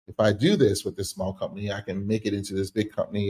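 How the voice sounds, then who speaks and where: On a very clean recording with a silent background, a man speaks at a fairly quick pace in a somewhat breathy, fairly low voice with a dark, mellow tone. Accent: American. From US Northeast, Philadelphia. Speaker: tech company founder and former CEO. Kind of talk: podcast interview.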